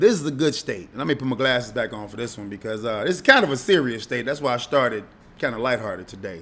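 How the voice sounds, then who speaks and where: Very fast speech from a man with an American accent, medium pitch, a bright, sharp tone, lively intonation and big swings in loudness. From Chicago. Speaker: radio host. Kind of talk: casual monologue. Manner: animated.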